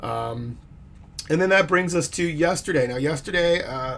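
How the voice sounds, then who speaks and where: Noticeable background noise sits under a man who talks at a fairly quick pace with lively intonation. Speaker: fitness vlogger. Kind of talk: casual monologue vlog. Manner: fast; hesitant with fillers.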